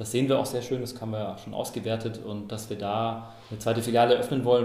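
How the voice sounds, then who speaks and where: A man's very fast voice at a medium pitch, fairly even in intonation, with audible room echo. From Karlsruhe, Germany. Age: 30s. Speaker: foundation board member. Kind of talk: interview.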